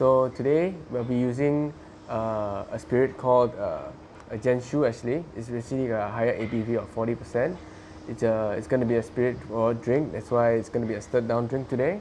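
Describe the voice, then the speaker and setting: A man speaks at a moderate pace with ordinary pitch variation over light background noise. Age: 20s. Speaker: bartender. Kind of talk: tutorial. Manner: casual, with frequent fillers. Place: home room.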